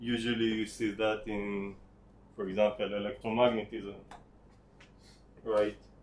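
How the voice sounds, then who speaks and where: The speech moves at a fairly slow pace with long, frequent pauses. The intonation is monotone and flat. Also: man, fairly low pitch for a man. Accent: Israeli. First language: Hebrew. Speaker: teaching assistant. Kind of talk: tutorial. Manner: halting.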